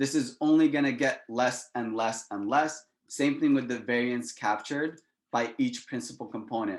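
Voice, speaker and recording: A man talks in a plain, everyday voice at medium pitch and a moderate pace, with ordinary pitch variation. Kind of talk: lecture. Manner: casual.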